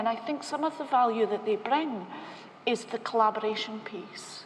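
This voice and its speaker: This woman speaks with a Scottish accent. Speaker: bank technology executive. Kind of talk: panel discussion.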